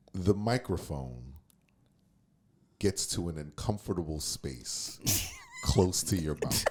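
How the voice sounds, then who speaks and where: With noticeable background noise behind him, a man speaks at a very slow pace in a very deep, low pitch, using lively intonation and long, frequent pauses. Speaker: podcast guest. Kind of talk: casual chat. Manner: halting.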